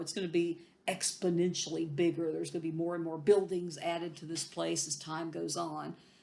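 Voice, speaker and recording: A woman's fairly low voice at a fairly quick pace, fairly even in intonation, with audible room echo. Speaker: history professor. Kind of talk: recorded lecture. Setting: recording at home. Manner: casual, repetitive with frequent fillers and restarts.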